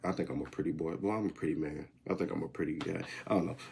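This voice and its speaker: The speaker sounds animated, with ordinary pitch variation. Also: man. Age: 20s. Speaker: wrestling commentary YouTuber. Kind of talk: casual vlog talk.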